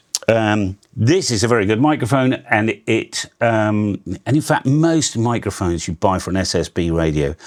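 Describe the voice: A man with a fairly low voice speaks at a moderate pace, using lively intonation and few pauses.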